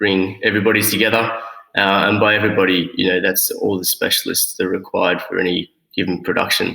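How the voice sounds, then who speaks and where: Speaking at a fairly quick pace, a man has an Australian accent. His voice is fairly low. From Australia (Sydney). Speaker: producer. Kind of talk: casual chat. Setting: remote call from a makeshift studio on location.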